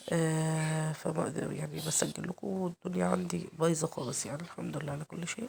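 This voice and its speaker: With an Egyptian accent, a woman speaks in a very deep, low pitch with ordinary pitch variation. She keeps a moderate pace with hardly any pauses over noticeable background noise. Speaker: cooking channel host. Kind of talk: cooking tutorial. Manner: hesitant, many fillers.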